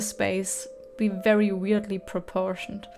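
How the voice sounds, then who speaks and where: A woman speaks with a German accent at a fairly slow pace. Her intonation stays fairly even. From Germany. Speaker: gaming YouTuber. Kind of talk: casual gameplay commentary.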